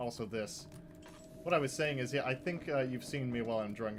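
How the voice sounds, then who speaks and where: Over clearly audible background noise, a man talks fairly quickly, his pitch varying in an ordinary way. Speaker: horror gaming streamer. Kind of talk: livestream gameplay chat. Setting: livestream. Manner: slurred.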